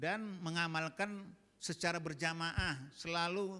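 A man speaks in a bright, sharp, animated tone. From Medan, North Sumatra (Batak); North Sumatra, Indonesia. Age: 60s. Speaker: Islamic preacher, retired diplomat; Islamic preacher. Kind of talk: sermon to women's study group. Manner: animated, direct, joking with audience. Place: church. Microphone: handheld.

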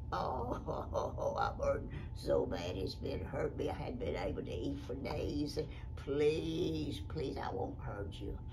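A put-on character voice speaks at a very slow pace. Loud background noise runs behind it. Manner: pleading.

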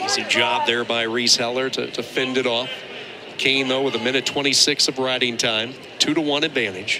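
Against noticeable background noise, a man at medium pitch talks at a moderate pace with fairly even intonation. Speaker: play-by-play commentator. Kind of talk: live sports commentary. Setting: broadcast booth at a wrestling dual.

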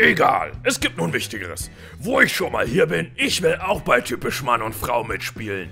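Clear music plays in the background as a man speaks at a moderate pace in a cartoonish character voice. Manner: bossy, aggressive.

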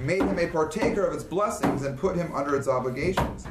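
Against noticeable background noise, a man talks in a high voice with ordinary pitch variation. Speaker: class teacher. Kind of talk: reading aloud in a lecture. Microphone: camera far.

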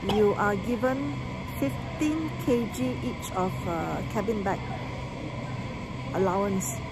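A woman's voice under loud background noise. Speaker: travel vlogger. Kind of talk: casual vlog chat. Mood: explaining, mildly frustrated. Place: station. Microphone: phone near.

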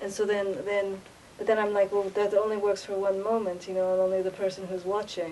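Over light background noise, a woman with an American accent speaks fairly quickly at a medium pitch in a dark, mellow tone with monotone, flat intonation. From United States. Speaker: vlogger. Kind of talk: casual monologue. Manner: halting. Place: hall. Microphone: webcam.

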